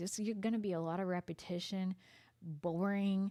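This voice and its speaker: Intonation stays fairly even at a fairly slow pace. The recording is very clean, with a silent background. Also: woman. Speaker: tarot reader. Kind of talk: tarot reading monologue. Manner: sarcastic-sounding; hesitant, many fillers.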